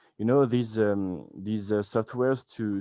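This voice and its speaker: A man with a French accent speaks very slowly with fairly even intonation. His tone is dark and mellow. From France. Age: 20s. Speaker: beginner web developer. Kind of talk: casual chat. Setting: video call. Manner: halting.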